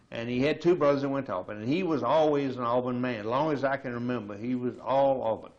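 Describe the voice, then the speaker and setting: With a Southern US accent, a man talks at a fairly quick pace and varies his pitch in an ordinary way. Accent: Southern American. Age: 70s. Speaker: retiree. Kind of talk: oral history interview.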